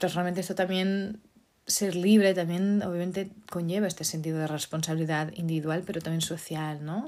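On a very clean recording with a silent background, a woman speaks at a fairly quick pace with a fairly low pitch and fairly even intonation. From Portugal. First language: Portuguese (speaking Spanish). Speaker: podcast host. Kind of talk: solo talk podcast monologue. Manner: hesitant, many fillers.

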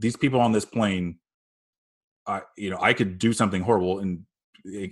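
A normal speaking voice with an American accent, speaking at a moderate pace with ordinary pitch variation. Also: man. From Phoenix, Arizona. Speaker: podcast host. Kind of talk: casual interview. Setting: remote recording from home.

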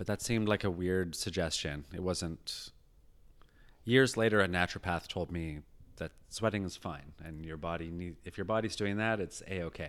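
A man with a very deep, low pitch on a very clean recording with a silent background. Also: ordinary pitch variation, moderate pace. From rural British Columbia, Canada. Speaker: performer and comedy writer. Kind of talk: casual chat.

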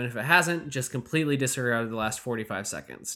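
An American-accented man talks at a very fast pace. His tone is bright and sharp, with ordinary pitch variation. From Michigan. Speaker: podcast host. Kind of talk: interview. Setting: home, remote call.

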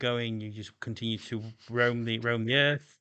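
A man speaks with a South Yorkshire accent over a quiet background. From Doncaster, South Yorkshire, England. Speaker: podcast host. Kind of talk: casual chat.

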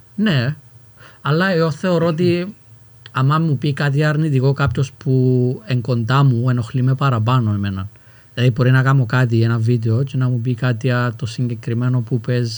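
A man at medium pitch, moderate pace, ordinary pitch variation and very even loudness. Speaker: rapper and youtuber. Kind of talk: casual chat.

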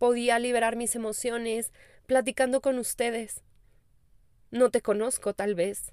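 In a Mexican accent, a woman speaks with a fairly high pitch at a fairly slow pace, using monotone, flat intonation and long, frequent pauses, on a very clean recording with a silent background and a dry, close sound with no echo. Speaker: spiritual life coach. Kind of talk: casual podcast monologue.

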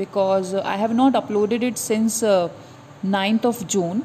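Speaking at a fairly slow pace, a woman with an Indian accent uses a fairly high voice and ordinary pitch variation. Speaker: podcaster and exam aspirant. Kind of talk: casual monologue to listeners. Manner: hesitant, many fillers.

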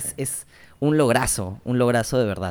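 Recorded very cleanly against a silent background, a man speaks in a plain, everyday voice at a moderate pace, medium in pitch with ordinary pitch variation. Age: 30s. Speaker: podcast co-host. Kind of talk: casual interview.

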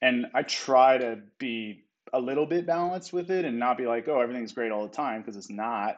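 Using an unremarkable speaking voice, a man talks at medium pitch and a fairly quick pace, with ordinary pitch variation. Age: 30s. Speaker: poker player. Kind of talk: casual chat.

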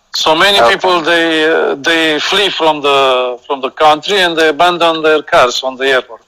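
Spoken with a Romanian accent, the voice moves at a moderate pace with ordinary pitch variation. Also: man, fairly high pitch for a man. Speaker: guest. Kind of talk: casual chat. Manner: halting.

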